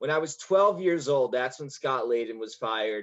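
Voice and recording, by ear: A man talks at a moderate pace with a medium pitch. His fairly bright tone carries lively intonation.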